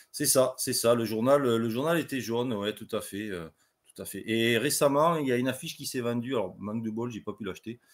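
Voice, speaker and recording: Speaking fairly quickly with a slight southwestern French accent and ordinary pitch variation, the voice comes through a very clean recording with a silent background. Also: man. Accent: slight Comminges (southwest France). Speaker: political party leader, guest. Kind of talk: live podcast interview.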